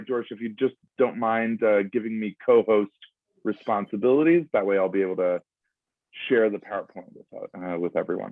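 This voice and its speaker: A man with an American accent speaks at a fairly low pitch. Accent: American English, native speaker. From US Northeast, Providence, Rhode Island. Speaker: foreign policy institute director. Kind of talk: lecture. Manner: halting, many fillers.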